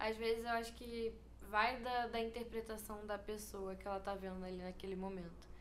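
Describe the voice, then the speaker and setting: At a moderate pace, a woman with a fairly high pitch speaks in a monotone, flat intonation, with audible room echo and noticeable background noise. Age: 20s. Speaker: fashion student. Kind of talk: casual chat.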